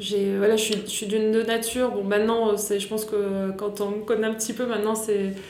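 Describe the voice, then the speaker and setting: A woman with a fairly high pitch talks in a monotone, flat intonation with hardly any pauses, amid noticeable background noise and audible room echo. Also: moderate pace. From France, Grenoble. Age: 30s. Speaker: entrepreneur and business coach. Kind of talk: casual interview. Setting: coworking space, face to face.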